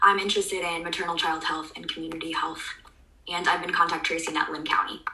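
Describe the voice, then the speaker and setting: A woman talks at a very fast pace. Noticeable background noise and audible room echo surround her voice. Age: 20s. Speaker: public health student, contact tracer. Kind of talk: interview.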